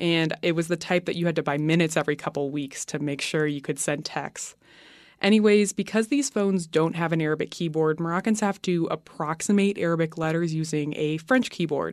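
Against a quiet background, a woman talks at a fairly quick pace in an unremarkable speaking voice, fairly low in pitch with ordinary pitch variation. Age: 20s. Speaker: student radio producer. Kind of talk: personal narrative.

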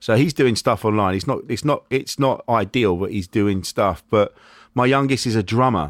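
The speaker has an English accent, a moderate pace and ordinary pitch variation. The sound is dry and close with no echo, on a very clean recording with a silent background. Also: man, medium pitch for a man. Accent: English accent with th-fronting. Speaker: podcast host and comedian. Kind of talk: casual chat. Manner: halting.

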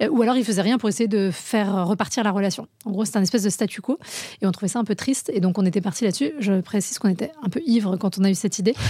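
A woman talks very fast with a medium pitch and ordinary pitch variation. Her tone is dark, mellow and somewhat breathy, with very even loudness. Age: 30s. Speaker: relationship coach and entrepreneur. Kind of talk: casual interview.

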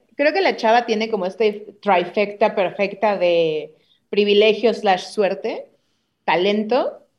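A woman talks very slowly in a fairly high pitch, with ordinary pitch variation. Her loudness stays very even throughout. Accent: Mexican. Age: 30s. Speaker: comedian. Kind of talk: casual chat.

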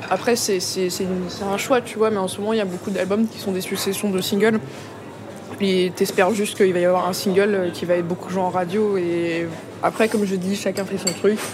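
A woman's medium-pitched, flat, monotone voice at a fairly quick pace, with noticeable background noise. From Paris and Vitry-sur-Seine suburbs, France. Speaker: musician. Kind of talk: casual chat.

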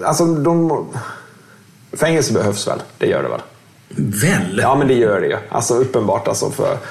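Moderate-paced speech with long, frequent pauses, audible room echo and noticeable background noise. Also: man. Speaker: former criminal, social worker. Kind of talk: interview. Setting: hotel room.

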